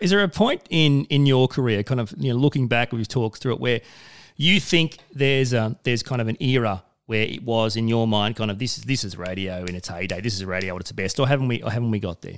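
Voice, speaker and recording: A man with an Australian accent at a medium pitch, very fast, with lively intonation, on a very clean recording with a silent background. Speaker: podcast host and radio presenter. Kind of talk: interview conversation.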